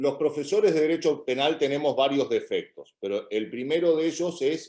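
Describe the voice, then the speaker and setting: Here is a man with an ordinary speaking voice. His pitch is fairly high, with ordinary variation. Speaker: criminal law professor. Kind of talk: academic Q&A answer.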